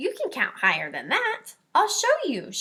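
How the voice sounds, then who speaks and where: Squeaky and extremely high, a woman's put-on character voice moves at a moderate pace. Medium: read story. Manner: gentle, patient.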